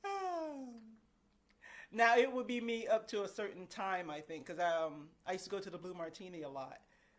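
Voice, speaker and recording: A woman has a plain, everyday voice at a medium pitch. Her intonation is lively, and her loudness swings widely. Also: moderate pace. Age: 50s. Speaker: vlogger. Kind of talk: casual chat.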